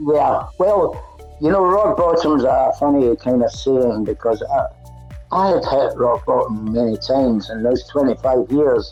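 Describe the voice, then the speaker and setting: A man speaks fairly slowly. Music plays in the background. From Glasgow, Scotland. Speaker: recovered heroin addict. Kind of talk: interview answer.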